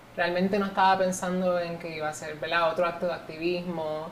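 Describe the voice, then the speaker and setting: A woman talks fairly quickly amid noticeable background noise, and audible room echo surrounds her voice. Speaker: beauty pageant contestant. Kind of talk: interview.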